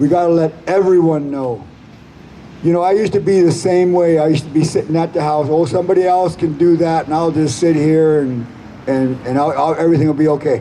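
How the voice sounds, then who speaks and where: A man with an ordinary speaking voice, fairly high in pitch, at a fairly quick pace with fairly even intonation. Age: 60s. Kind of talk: rally speech.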